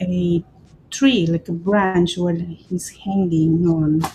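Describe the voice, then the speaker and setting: A woman with a Spanish accent, fairly low-pitched and relaxed in tone, at a very slow pace with noticeable background noise. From Peru. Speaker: craft artist. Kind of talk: livestream craft tutorial. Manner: relaxed, hesitant with fillers.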